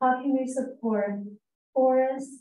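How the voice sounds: A woman speaks slowly with high pitch and fairly even intonation, her voice raspy with a dark, mellow tone. Audible room echo surrounds her.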